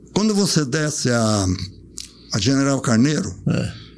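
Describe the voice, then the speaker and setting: A man speaks at a fairly slow pace with a fairly high pitch. His voice swings very widely and carries audible room echo. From Brazil, Sorocaba (São Paulo state). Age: 80s+. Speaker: elderly local resident sharing memories. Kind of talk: casual reminiscing interview.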